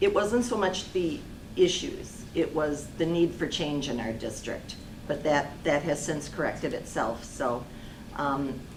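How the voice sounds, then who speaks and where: Amid audible room echo, a woman speaks at a fairly slow pace in a very deep, low voice with lively intonation. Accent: American. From Kenosha, Wisconsin. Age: 60s. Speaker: local election candidate. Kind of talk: candidate forum answers.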